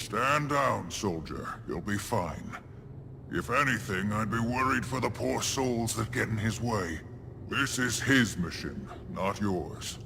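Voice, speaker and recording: A man's put-on character voice at medium pitch, fairly slow, over loud background noise. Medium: video game. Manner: measured, authoritative.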